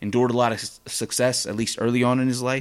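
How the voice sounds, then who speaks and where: A man with an American accent speaks at a medium pitch and a fairly quick pace. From US West Coast. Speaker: podcast host. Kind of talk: casual monologue. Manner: halting.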